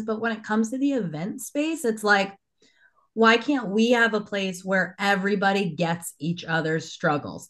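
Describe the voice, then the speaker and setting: A woman with an unremarkable speaking voice talks at a medium pitch and a moderate pace, with lively intonation. The background is quiet. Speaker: business owner and conference co-founder. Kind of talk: casual podcast interview.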